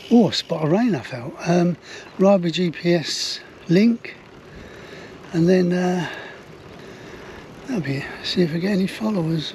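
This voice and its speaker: A man's high voice with an English accent, ordinary pitch variation, a fairly slow pace and long, frequent pauses, against noticeable background noise. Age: 70s. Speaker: touring cyclist vlogger. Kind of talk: casual vlog narration. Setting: outdoors on a trike.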